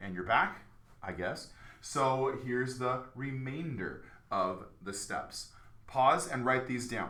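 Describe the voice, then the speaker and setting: A man speaks at medium pitch with ordinary pitch variation and a very slow pace. Noticeable background noise and audible room echo are present. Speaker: math teacher. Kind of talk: tutorial. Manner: casual.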